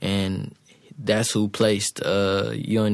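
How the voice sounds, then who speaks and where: This man speaks at a fairly slow pace with an American accent, his pitch fairly low and his intonation flat and monotone. The recording is very clean with a silent background. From South Carolina. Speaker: music producer. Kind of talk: casual interview.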